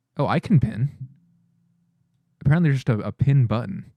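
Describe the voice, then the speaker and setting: A man's voice comes through breathy, with a dark, mellow tone and a fairly high pitch. He speaks at a fairly quick pace. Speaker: streamer. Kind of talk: live gameplay stream commentary. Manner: casual, chatty with filler words.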